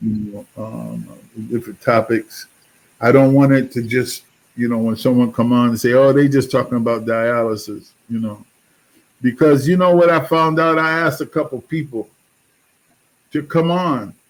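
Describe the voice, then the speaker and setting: At a moderate pace with long, frequent pauses, a man talks at a medium pitch with ordinary pitch variation, recorded very cleanly with a silent background. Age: 60s. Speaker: podcast host, dialysis patient. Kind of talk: casual interview chat. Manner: halting.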